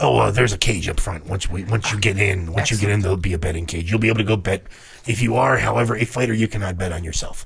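A man does a put-on character voice, raspy and fairly low in pitch with ordinary variation. He goes at a very fast pace over light background noise. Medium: actual play. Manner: polite, salesman-like, unbending about money.

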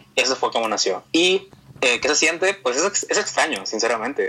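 Noticeable background noise runs under this clip. A man speaks at a moderate pace with lively intonation. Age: 20s. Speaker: singer and former youtuber. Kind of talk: casual interview. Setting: call over the internet.

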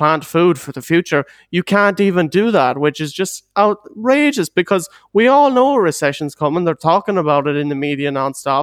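A man's high-pitched voice in a western Irish accent at a moderate pace, with a dry, close sound and no echo. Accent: Irish (western Ireland). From Ireland, Galway. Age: 20s. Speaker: podcast guest. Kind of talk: casual chat.

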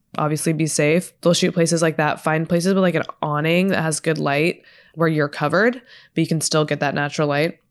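With an American accent, a woman talks at a fairly quick pace in a very deep, low pitch, her loudness very even. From Texas. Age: 20s. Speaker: podcast host and influencer. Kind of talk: casual Q&A chat.

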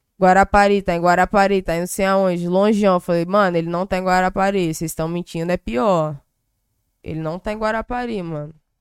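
Dry and close with no echo in a very clean recording with a silent background, a woman with an ordinary speaking voice talks at a fairly quick pace, with medium pitch and fairly even intonation. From Brazil, Espírito Santo (Cariacica). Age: 20s. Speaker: rapper. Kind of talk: casual chat.

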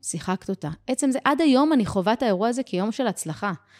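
Energetic and fairly quick, a woman speaks at a fairly high pitch with very wide pitch swings. The recording is very clean and dry, with a close sound, no echo and a silent background. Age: 30s. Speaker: business and life coach. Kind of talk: podcast interview.

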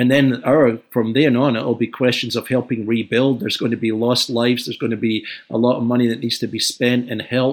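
In a very clean recording with a silent background, a man with a Scottish accent and medium pitch talks at a fairly quick pace with hardly any pauses and a monotone, flat intonation. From Scotland, Glasgow. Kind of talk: interview discussion.

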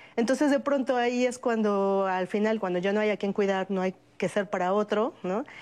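At a moderate pace, a woman with a plain, everyday voice speaks at a medium pitch with ordinary pitch variation and very even loudness against a quiet background. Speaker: sociologist. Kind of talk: panel discussion.

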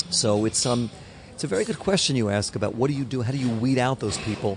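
Very fast speech from a man, noticeable background noise throughout. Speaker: record label owner. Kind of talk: interview. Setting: hotel.

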